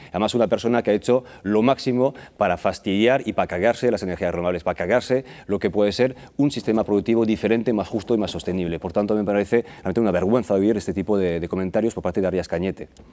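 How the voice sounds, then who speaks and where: This man talks very fast in a fairly low, dark, mellow voice with a slight non-native accent. His pitch varies an ordinary amount, and the recording is very clean over a silent background. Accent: near-native Spanish, hardly noticeable. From France. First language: French (speaking Spanish). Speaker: political candidate. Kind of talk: TV interview.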